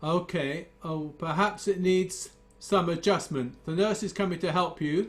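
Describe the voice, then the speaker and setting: With music in the background, a man speaks in a high pitch at a fairly slow pace, his intonation fairly even. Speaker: guitar teacher. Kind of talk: casual chat. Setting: video call.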